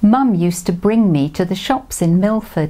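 Ordinary pitch variation in plain reading aloud

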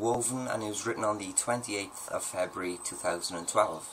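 Light background noise sits behind a man whose intonation is lively. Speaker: poet and video host. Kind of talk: poetry reading. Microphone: webcam.

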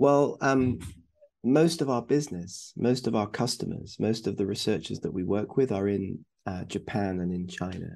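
Dark, mellow tone with vocal fry, ordinary pitch variation and a moderate pace. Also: man, fairly low pitch for a man.

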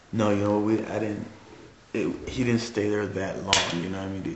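Loud background noise surrounds a man as he talks. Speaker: witness. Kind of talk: interview answer. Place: factory. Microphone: camera far.

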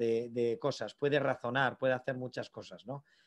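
At a moderate pace and with fairly even intonation, a man speaks over a quiet background. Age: 30s. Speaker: AI entrepreneur; invited lecturer. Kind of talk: lecture. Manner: halting. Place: office. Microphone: video call.

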